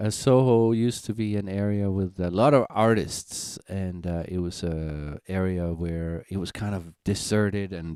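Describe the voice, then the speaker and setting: A man with a Danish accent speaks at a very deep, low pitch in a dark, mellow tone with ordinary pitch variation. His pace is fairly slow with hardly any pauses, on a very clean recording with a silent background. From Denmark, rural Jutland. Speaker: singer-songwriter. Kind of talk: casual live-stream chat. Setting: live stream. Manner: halting, many fillers.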